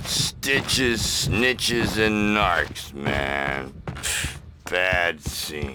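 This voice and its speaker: Putting on a character voice, a man speaks at a very deep, low pitch and a very slow pace with very wide pitch swings, clear background noise behind him. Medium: video game. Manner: hippie slang, drawling.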